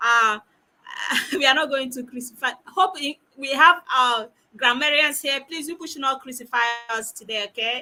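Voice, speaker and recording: A woman's raised, projected voice, high-pitched, bright and sharp in tone, at a moderate pace with big swings in loudness. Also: ordinary pitch variation. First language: not English. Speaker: talk show host. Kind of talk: online panel moderation. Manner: animated.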